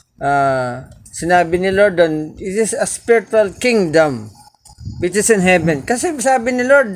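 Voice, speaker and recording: A man speaks very slowly in a high voice, his pitch swinging very widely. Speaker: Bible study teacher. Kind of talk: Bible study teaching. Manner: halting.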